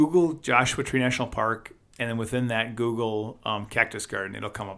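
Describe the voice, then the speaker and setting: On a very clean recording with a silent background, a man with a Wisconsin accent talks at a very fast pace in a fairly low pitch with a bright, sharp tone. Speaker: podcast co-host. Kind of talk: casual chat.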